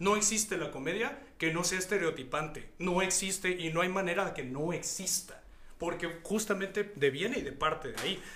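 Over noticeable background noise and audible room echo, a man speaks in a raised, projected voice, his high pitch showing ordinary variation. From Mexico, Hidalgo. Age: 30s. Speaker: singer-songwriter. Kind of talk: interview.

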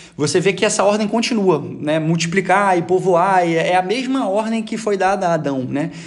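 A man with a Rio de Janeiro accent speaks at a moderate pace in a high voice, with ordinary pitch variation, hardly any pauses and audible room echo. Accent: Rio de Janeiro Brazilian Portuguese. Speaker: podcast panelist, soldier. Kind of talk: casual group discussion.

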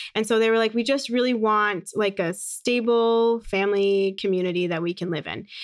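A woman with a normal speaking voice and an American accent talks at a moderate pace, her fairly high pitch showing ordinary pitch variation. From US, Phoenix Arizona. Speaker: podcaster and speaker on inclusion. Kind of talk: casual interview chat.

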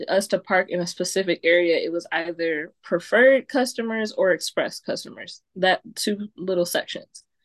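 An unremarkable speaking voice from a woman at medium pitch, lively intonation and a fairly slow pace, dry and close with no echo over a quiet background. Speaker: guest, cousin of host. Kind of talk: casual comedy podcast chat.

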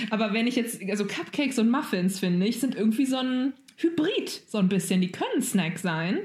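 With a normal speaking voice, a woman talks at a moderate pace, her fairly high pitch carried by lively intonation and very even loudness. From Germany. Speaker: podcast co-host. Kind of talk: casual chat.

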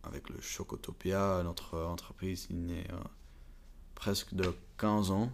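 A man speaks very slowly in a very deep, low voice. His intonation stays monotone and flat. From Belgium (Flanders, Bruges) and Prague, Czech Republic. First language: English, Flemish, Czech (speaking French). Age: 20s. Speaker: university student, chocolate family business. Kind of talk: interview. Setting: chocolate museum. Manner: halting, hesitant.

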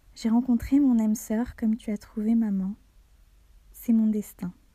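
Fairly high-pitched and somewhat breathy, a woman speaks at a fairly slow pace with a dark, mellow tone and fairly even intonation. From Algeria and France. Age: 20s. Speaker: student sharing a personal testimony. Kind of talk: reading a personal letter aloud.

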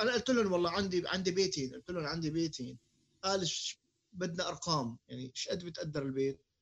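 A man's high voice carries ordinary pitch variation and moves at a fairly quick pace. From Syria. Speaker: podcast co-host. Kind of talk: casual chat.

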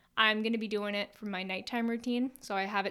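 Fairly high and fairly even in intonation, a woman's voice comes through. The recording is very clean, with a silent background. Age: 20s. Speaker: podcast host. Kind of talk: casual monologue. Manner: chatty, informal.

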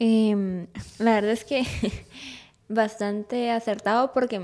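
In a monotone, flat intonation, a woman speaks at a fairly high pitch. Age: young. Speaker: graphic design student. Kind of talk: casual chat.

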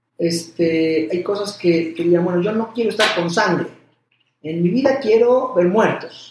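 A man's high-pitched voice with ordinary pitch variation, plus audible room echo. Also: fairly slow pace. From Mexico (Puebla). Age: 40s. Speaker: cardiologist. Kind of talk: interview conversation. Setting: doctor's office.

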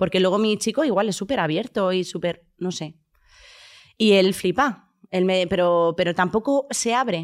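A woman speaks in a plain, everyday voice at a medium pitch with ordinary pitch variation. Her pace is fairly slow, and the recording is very clean with a silent background. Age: 30s. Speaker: content creator. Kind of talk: casual chat.

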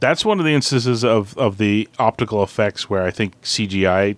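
In a very clean recording with a silent background and a dry, close sound free of echo, a man with an ordinary speaking voice and fairly low pitch talks at a moderate pace, with very even loudness and ordinary pitch variation. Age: 40s. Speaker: podcast co-host. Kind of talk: film commentary chat.

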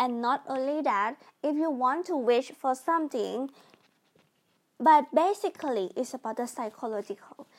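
A woman in a Thai accent, high-pitched with lively intonation, at a moderate pace, in a very clean recording with a silent background. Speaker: podcast host. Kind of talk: casual explainer monologue. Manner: halting.

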